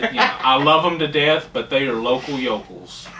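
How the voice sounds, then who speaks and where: Noticeable background noise surrounds a man who speaks with a fairly high pitch in a Southern US accent. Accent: Southern drawl. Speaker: furry podcast co-host, graduate student. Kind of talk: casual chat. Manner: slow.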